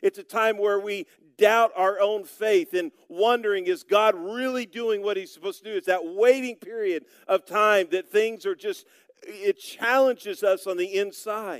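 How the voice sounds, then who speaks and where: A high-pitched man with an American accent talks at a moderate pace with ordinary pitch variation, the sound dry and close with no echo. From Oklahoma, US (Broken Arrow). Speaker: pastor. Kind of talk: sermon.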